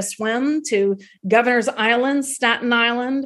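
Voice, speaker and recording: A woman with an American accent talks in a normal speaking voice, fairly high in pitch and fairly even in intonation, against a quiet background. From US South, North Florida (Tallahassee). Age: 50s. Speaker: tour guide and author. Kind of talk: interview testimony.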